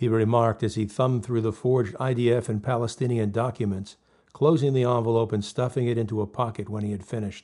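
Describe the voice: The text is simply read aloud. Intonation remains fairly even throughout.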